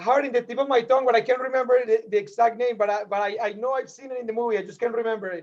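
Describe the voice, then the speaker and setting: Talking very fast with hardly any pauses, a man with a Spanish accent keeps fairly even intonation at an extremely high pitch. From Colombia. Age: 30s. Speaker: podcast guest. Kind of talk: casual chat.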